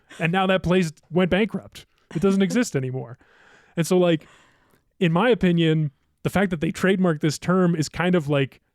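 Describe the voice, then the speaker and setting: A man with an American accent speaks at a moderate pace, high pitch and ordinary pitch variation, with long, frequent pauses. The sound is dry and close with no echo on a very clean recording with a silent background. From Ohio. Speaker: podcast producer. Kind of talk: casual chat. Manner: casual, filler-heavy.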